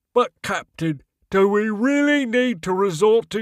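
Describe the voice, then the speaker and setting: Spoken at a fairly slow pace, the delivery uses a put-on character voice. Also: man, high pitch for a man. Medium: read story. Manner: hesitant, deferential.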